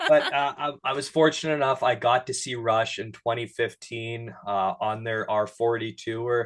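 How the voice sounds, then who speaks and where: A man's normal speaking voice in a Canadian accent at medium pitch and a moderate pace, with fairly even intonation, hardly any pauses and a quiet background. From Canada, Sudbury, Ontario. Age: 20s. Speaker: digital creator and interview host. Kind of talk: casual chat.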